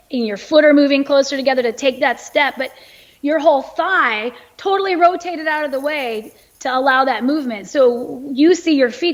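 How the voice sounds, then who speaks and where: A woman with an American accent speaks at a moderate pace. Her pitch is high, with ordinary variation. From United States. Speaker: biomechanist and author. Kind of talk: podcast interview.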